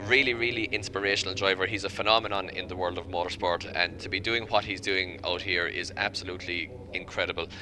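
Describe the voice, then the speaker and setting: A man with a very deep, low voice and an Irish accent talks very fast with hardly any pauses. His intonation stays fairly even. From Ireland. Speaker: motorsport commentator. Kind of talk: live commentary.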